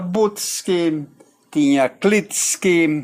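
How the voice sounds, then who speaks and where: The man's high voice carries lively intonation. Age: 80s+. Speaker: retired pastor and local historian. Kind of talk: interview. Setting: outdoors by a river.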